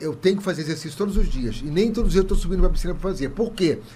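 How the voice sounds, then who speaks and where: His tone is dark and mellow. The man's pitch sits high. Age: 60s. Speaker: comedian. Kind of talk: casual chat. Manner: animated.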